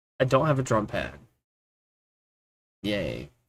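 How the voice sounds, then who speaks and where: A man's mumbling at a medium pitch, bright and sharp in tone. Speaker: gaming streamer. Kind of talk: casual live stream chat. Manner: tends to mumble. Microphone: mic moved closer to face, picking up better.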